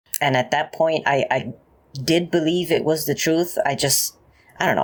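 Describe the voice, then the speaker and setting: A man's fairly high voice with vocal fry and ordinary pitch variation. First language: Spanish. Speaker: ex-Jehovah's Witness YouTuber. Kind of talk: interview.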